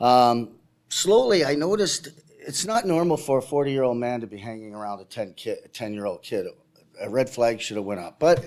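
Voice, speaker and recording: A man at a medium pitch and moderate pace with lively intonation, on a very clean recording with a silent background. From Canada, Toronto. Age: 60s. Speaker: abuse survivor speaker. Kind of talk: testimony. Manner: halting.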